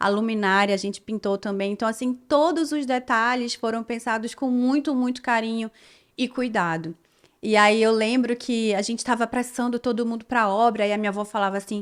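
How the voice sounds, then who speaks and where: An unremarkable speaking voice moves at a fairly quick pace with fairly even intonation, captured in a very clean recording with a silent background. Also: woman, fairly high pitch for a woman. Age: 30s. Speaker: dermatologist. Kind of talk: personal storytelling vlog. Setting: her consulting room.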